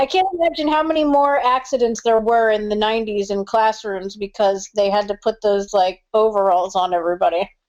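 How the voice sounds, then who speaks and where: In an ordinary speaking voice, a woman talks at a fairly quick pace and fairly high pitch, with lively intonation and hardly any pauses. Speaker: ring announcer and commentator. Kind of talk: casual podcast conversation. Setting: phone line.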